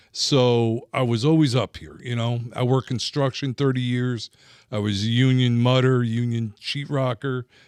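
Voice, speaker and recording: Speaking at a moderate pace with fairly even intonation, a man with a medium-pitched voice is heard in a very clean recording with a silent background and a dry, close sound with no echo. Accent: New Jersey. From New Jersey. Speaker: former fishing guide and industry rep. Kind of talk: casual interview chat. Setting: studio.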